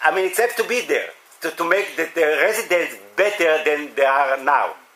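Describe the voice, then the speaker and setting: A man's high-pitched voice at a moderate pace, lively intonation over noticeable background noise. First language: Hebrew. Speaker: municipal volunteer coordinator. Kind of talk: workshop discussion. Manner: halting.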